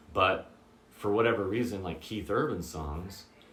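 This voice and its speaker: At a moderate pace and with lively intonation, a man speaks in a room with audible echo. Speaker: guitar teacher. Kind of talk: tutorial. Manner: casual, with many fillers.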